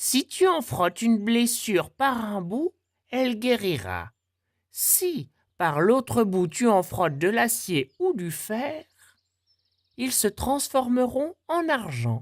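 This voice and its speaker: Putting on a character voice, a man speaks at an extremely high pitch and a fairly slow pace, with long, frequent pauses, in a very clean recording with a silent background. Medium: read story. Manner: vain, blustering.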